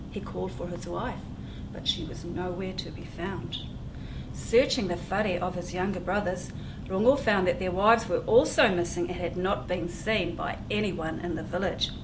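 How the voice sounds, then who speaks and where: Noticeable background noise sits behind a woman at a medium pitch. She speaks at a moderate pace with ordinary pitch variation. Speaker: children's book author reading her own story. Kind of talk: children's storytime reading.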